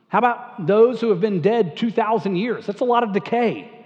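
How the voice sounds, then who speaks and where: Ordinary pitch variation accompanies a moderate pace of speech. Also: man. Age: 50s. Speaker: pastor. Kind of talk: sermon. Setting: church. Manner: conversational, many fillers and repeats.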